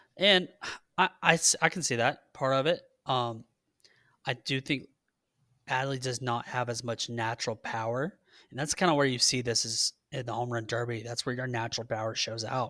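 In a Southern US accent, the speaker has a bright, sharp tone, ordinary pitch variation and a moderate pace on a very clean recording with a silent background. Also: man, medium pitch for a man. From Georgia. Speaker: sports podcast co-host. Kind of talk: casual chat.

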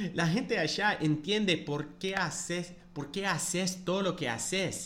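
A man with an English accent, high-pitched and enthusiastic in tone, at a fairly slow pace with ordinary pitch variation. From United States. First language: English (speaking Spanish). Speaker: podcast host, football fan. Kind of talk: casual monologue.

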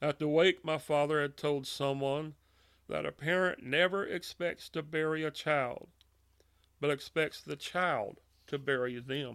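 A man with a Louisiana accent, a fairly high pitch and a fairly slow pace, in a very clean recording with a silent background. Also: fairly even intonation. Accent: Southern US (Louisiana). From US South, Louisiana (Monroe). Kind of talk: personal testimony. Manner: hesitant with filler words and repetitions.

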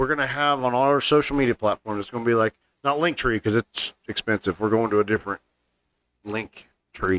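This man speaks at a medium pitch with ordinary pitch variation, in a dry, close recording with no echo. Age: 30s. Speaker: podcast host. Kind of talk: casual chat.

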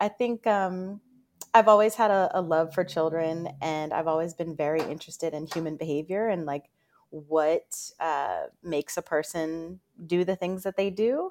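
An ordinary speaking voice with an American accent moves at a moderate pace with ordinary pitch variation, captured in a very clean, dry, close recording with a silent background and no echo. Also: woman. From Northern Virginia, US. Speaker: career coach. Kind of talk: interview.

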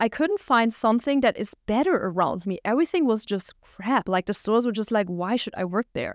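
A woman speaks with a German accent at a fairly high pitch, with ordinary pitch variation. The sound is dry and close with no echo, over a quiet background. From Germany, small village. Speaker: entrepreneur and podcast host. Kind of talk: solo monologue, personal story.

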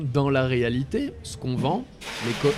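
Over noticeable background noise, a man with a fairly high pitch talks at a fairly slow pace. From France, Ardennes. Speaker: coach. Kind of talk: interview conversation.

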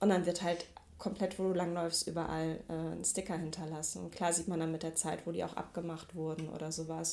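A woman speaks quite quickly with an ordinary speaking voice. Her pitch is fairly low and her intonation fairly even. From Ruhr area, Mülheim an der Ruhr. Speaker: street artist and photographer. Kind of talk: interview. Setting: home office.

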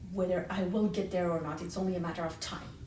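Audible room echo surrounds a woman speaking with a Persian accent at medium pitch. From Iran. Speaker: hiring manager. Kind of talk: interview.

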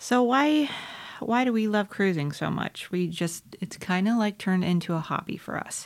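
With lively intonation and an American accent, a woman speaks at medium pitch in a normal speaking voice. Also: moderate pace. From South Carolina. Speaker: podcast co-host. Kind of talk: casual chat.

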